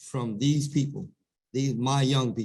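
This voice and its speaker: Somewhat breathy, a man's voice holds a medium pitch. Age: 60s. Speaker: business owner. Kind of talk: panel discussion.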